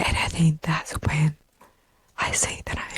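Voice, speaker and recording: Very slow whispering with a dry, close sound and no echo. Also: woman. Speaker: fitness competitor and personal trainer. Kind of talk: ASMR podcast monologue. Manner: whispered, inaudible style.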